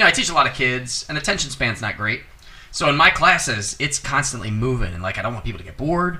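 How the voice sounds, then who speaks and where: Very fast and at a medium pitch, a man speaks with very wide pitch swings and big swings in loudness. Noticeable background noise is present. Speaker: podcast host. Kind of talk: casual chat.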